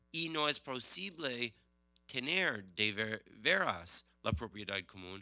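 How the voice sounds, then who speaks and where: A man with an English accent speaks at a very slow pace, with very wide pitch swings and big swings in loudness. The sound is dry with no echo, and faint music plays in the background. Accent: non-native Spanish, English-speaking. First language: English (speaking Spanish). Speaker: economist and book author; presenter, panelist. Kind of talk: book presentation talk. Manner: halting with many fillers. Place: hall. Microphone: podium.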